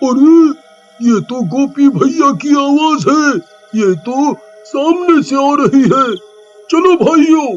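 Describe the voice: A man does a cartoonish character voice at a fairly slow pace, with faint music in the background.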